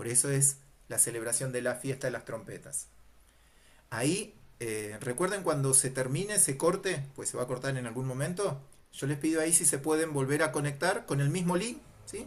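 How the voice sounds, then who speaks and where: Somewhat breathy, a man talks at a fairly high pitch and a moderate pace, with ordinary pitch variation. Room echo is audible. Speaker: Bible teacher. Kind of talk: lecture.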